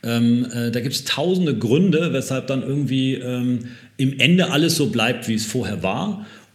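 With audible room echo around him, a man talks at a moderate pace, his medium-pitched voice carrying lively intonation. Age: 30s. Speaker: fashion company founder. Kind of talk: interview. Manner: halting, many fillers; relaxed.

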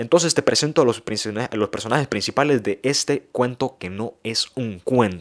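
Animated delivery from a man of medium pitch at a moderate pace, with ordinary pitch variation and a dry, close sound with no echo. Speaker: podcast host and youth preacher. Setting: podcast studio. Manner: animated, excitable, conversational; direct address to audience, playful and emphatic.

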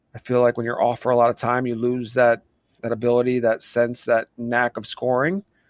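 A man with an unremarkable speaking voice, medium pitch, fairly even intonation and a moderate pace, in a dry, close sound with no echo. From Pennsylvania. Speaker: podcast co-host, soccer fan. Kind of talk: casual sports chat.

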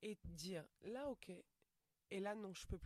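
A woman's voice with ordinary pitch variation, in a dry, close sound with no echo. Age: 40s. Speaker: stand-up comedian. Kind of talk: casual interview chat.

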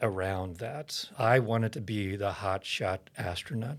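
An unremarkable speaking voice with an American accent carries fairly even intonation. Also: man. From Oklahoma. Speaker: seminary president and pastor. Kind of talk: interview testimony.

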